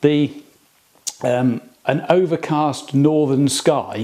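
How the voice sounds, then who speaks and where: Here a man talks in an English accent. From England. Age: 50s. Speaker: hobbyist workshop video maker. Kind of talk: casual tutorial. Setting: workshop. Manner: halting, many fillers.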